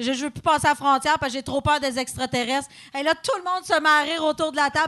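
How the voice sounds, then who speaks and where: Very fast and high-pitched, a woman with a Quebec accent speaks in a bright, sharp tone with fairly even intonation. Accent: Québécois French. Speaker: comedian. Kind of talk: live podcast chat. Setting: stage with audience.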